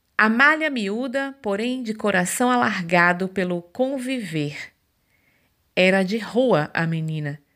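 A woman at a very slow pace, her tone gentle and warm yet bright and sharp, with very wide pitch swings on a very clean recording with a silent background. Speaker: podcast host reading a poem. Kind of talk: spoken word poetry reading. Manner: lyrical, measured, tender; gentle, warm storytelling cadence.

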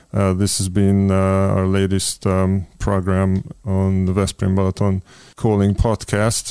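A man with a Hungarian accent speaks slowly-ish, at a very deep, low pitch, with monotone, flat intonation and very even loudness on a very clean recording with a silent background. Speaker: podcast host. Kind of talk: interview. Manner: halting.

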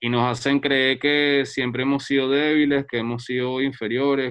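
Monotone and flat in intonation, a man talks at a fairly slow pace. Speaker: photographer and researcher. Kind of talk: casual chat.

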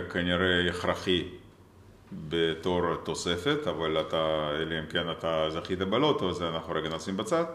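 In a Russian accent, a man talks very slowly in a very deep, low voice, with audible echo from the room. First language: Russian (speaking Hebrew). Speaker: tech entrepreneur. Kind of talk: interview.

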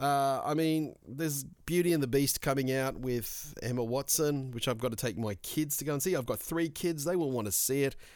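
An Australian-accented man with a fairly high voice and ordinary pitch variation, moderate pace, hardly any pauses, on a very clean recording with a silent background. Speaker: podcast host. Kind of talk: casual solo monologue.

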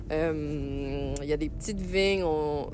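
Music plays behind a woman's voice, and audible room echo surrounds it. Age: 30s. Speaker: resident sharing a favourite place. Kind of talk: recorded voice message. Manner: hesitant, many fillers.

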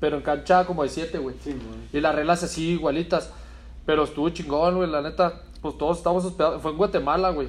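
Fairly high in pitch, a man talks at a fairly quick pace. His intonation is monotone and flat. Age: 30s. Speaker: footballer. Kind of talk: casual chat.

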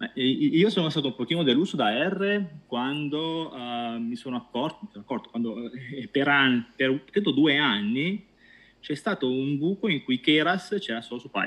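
A man with a fairly high pitch speaks at a moderate pace with lively intonation. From Italy, Pescara (Abruzzo). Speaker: data science team leader. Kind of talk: interview. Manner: halting, many repetitions.

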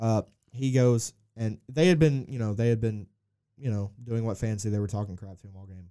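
A man's medium-pitched, dark and mellow voice at a fairly quick pace, with ordinary pitch variation and big swings in loudness. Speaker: soccer podcast co-host. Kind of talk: casual chat.

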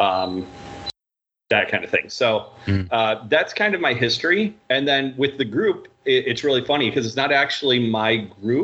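Speaking at a moderate pace, a man with an unremarkable speaking voice of medium pitch uses lively intonation and keeps his loudness very even. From Michigan, US. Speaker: card group admin. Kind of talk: casual chat.

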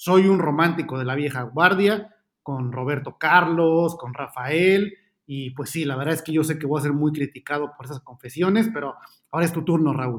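With a fairly high pitch and ordinary pitch variation, a man talks at a moderate pace. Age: 30s. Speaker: podcast host. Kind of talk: casual chat. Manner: hesitant, many fillers.

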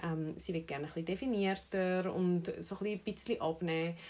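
A woman with a Zurich accent, medium pitch, fairly even intonation and a moderate pace. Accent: Zurich Swiss German dialect. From Switzerland, Zurich. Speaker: personal trainer and podcast host. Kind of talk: casual chat.

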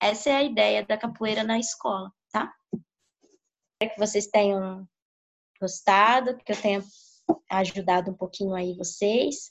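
A woman speaks at a moderate pace with long, frequent pauses. Her pitch is medium, with ordinary pitch variation. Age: 30s. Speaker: capoeira teacher. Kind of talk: interview. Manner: halting.

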